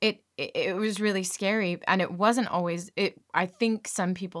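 A woman with a Californian accent speaks at a medium pitch with fairly even intonation. The recording is very clean with a silent background, the sound dry and close with no echo. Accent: American, Californian. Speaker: actor, comedian and voiceover artist. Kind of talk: casual chat.

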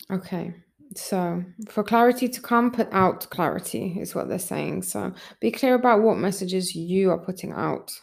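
Vocal fry in a woman's voice of medium pitch, at a moderate pace with ordinary pitch variation. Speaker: spiritual channeler and podcast host. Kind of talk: channeled spiritual guidance monologue. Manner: relaxed, with frequent yawns.

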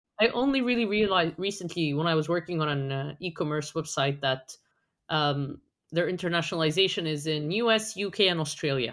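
With an Arabic accent, a woman talks at a fairly quick pace in a fairly low pitch with lively intonation. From Egypt. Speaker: SEO consultant. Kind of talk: casual chat.

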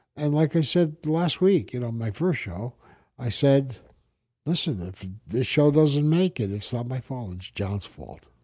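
A man with an American accent talks at a fairly slow pace in a medium-pitched voice with a dark, mellow tone. His pitch swings very widely and his loudness shifts a lot, all against a quiet background. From New York, the Bronx. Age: 70s. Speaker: podcast host, businessman. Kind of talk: casual chat. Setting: studio. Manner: halting.

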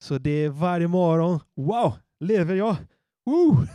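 A man's high-pitched, dark, mellow voice with ordinary pitch variation in a very clean recording with a silent background. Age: 30s. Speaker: pastor. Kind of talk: sermon; prayer.

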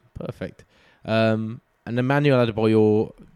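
Recorded with a dry, close sound and no echo, a man speaks with an English accent. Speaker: football podcast host. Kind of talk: casual chat. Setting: Skype call.

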